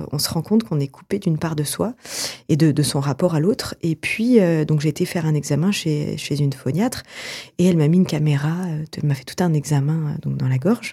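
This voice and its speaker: Somewhat breathy, with a very deep, low pitch and a dark, mellow tone, a woman speaks at a fairly quick pace with ordinary pitch variation. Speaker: theatre director and actress. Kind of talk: radio interview. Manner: halting, many fillers.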